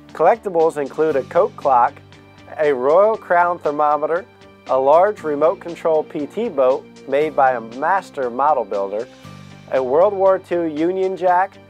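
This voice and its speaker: Over music in the background, a man speaks at a fairly slow pace with a fairly high pitch and lively intonation. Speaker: auctioneer. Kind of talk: auction preview announcement.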